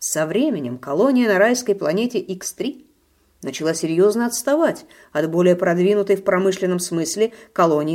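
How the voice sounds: Lively intonation in a natural reading voice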